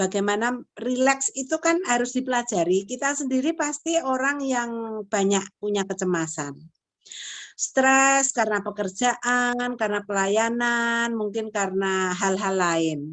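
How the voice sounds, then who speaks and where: A woman talks at a fairly slow pace with lively intonation. Her loudness stays very even. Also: fairly high pitch for a woman. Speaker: lecturer in counseling psychology. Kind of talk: lecture.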